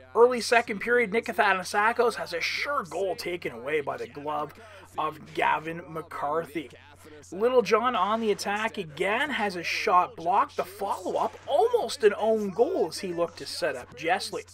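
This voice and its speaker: Over noticeable background noise, a man with a high pitch speaks at a moderate pace with lively intonation and big swings in loudness. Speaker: sports commentator. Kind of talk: live sports commentary / game highlights voiceover.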